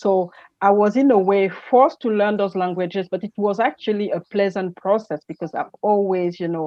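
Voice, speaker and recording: Speaking with a French accent, a woman keeps a moderate pace at a medium pitch with ordinary pitch variation. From Gabon. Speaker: energy entrepreneur and speaker. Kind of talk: interview. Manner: halting, many fillers.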